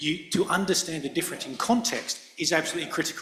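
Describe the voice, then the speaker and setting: Noticeable background noise sits behind a man with a non-native accent. His pitch is high, with ordinary pitch variation. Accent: non-European accent, noticeable. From Indo-Pacific. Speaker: lawyer and standards committee chair. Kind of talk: panel discussion. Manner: hesitant, many fillers and repetitions.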